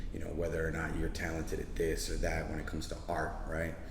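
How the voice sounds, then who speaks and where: The speech has lively intonation in an American accent. Audible room echo and noticeable background noise come through. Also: man. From Chicago, Pilsen (Colombian-born). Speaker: artist and activist. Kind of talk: interview. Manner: casual, many fillers.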